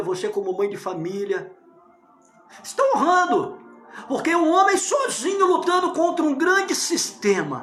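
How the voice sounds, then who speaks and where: Extremely high-pitched male voice with very wide pitch swings, audible room echo, and music in the background. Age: 60s. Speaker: pastor. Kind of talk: political sermon monologue. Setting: at home, living room.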